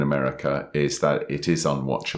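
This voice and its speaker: This man speaks with vocal fry. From England. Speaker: podcast co-host and author. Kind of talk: casual chat. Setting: recording in person, sitting next to co-host.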